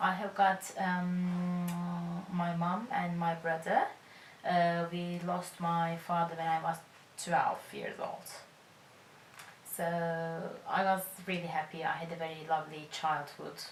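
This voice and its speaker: A woman with a Turkish accent and a fairly low pitch talks at a very slow pace in a monotone, flat intonation, leaving long, frequent pauses, with audible room echo around her. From Turkey (Izmir). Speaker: charity volunteer. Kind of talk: interview testimony.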